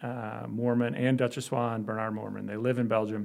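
Speaking in a flat monotone at medium pitch, a man with a Chicago accent is heard in a very clean recording with a silent background. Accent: Chicago American. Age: 40s. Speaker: orthopedic spine surgeon. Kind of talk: casual interview.

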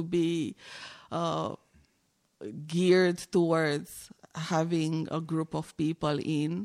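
A woman with a Romanian accent and a fairly low pitch speaks with fairly even intonation, captured very cleanly against a silent background with a dry, close sound and no echo. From Romania, Timișoara. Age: 40s. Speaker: visual artist. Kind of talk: interview.

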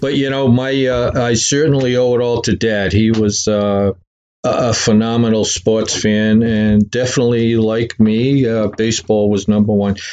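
Moving at a moderate pace, this voice with a Boston accent has little pitch movement and a slightly mellow tone. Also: man, fairly low pitch for a man. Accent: Boston-area New England.

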